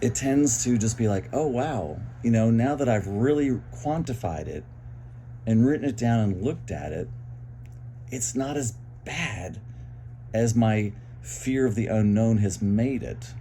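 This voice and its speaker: Somewhat breathy and dark, mellow in tone, a man speaks at a medium pitch and fairly slow pace with ordinary pitch variation, long, frequent pauses and audible room echo. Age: 60s. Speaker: vlogger sharing mental health experience. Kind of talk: personal monologue. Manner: halting.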